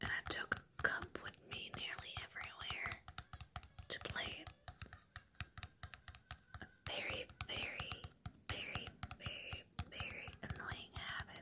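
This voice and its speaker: Whispering at a fairly slow pace with long, frequent pauses, the speaker is heard over noticeable background noise. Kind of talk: ASMR whispered talk to camera. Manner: whispered, soft.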